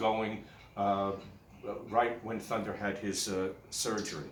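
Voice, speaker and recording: Amid noticeable background noise and audible room echo, a man speaks at a fairly low pitch with fairly even intonation. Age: 60s. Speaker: guide dog handler. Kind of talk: personal video message. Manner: halting, many fillers.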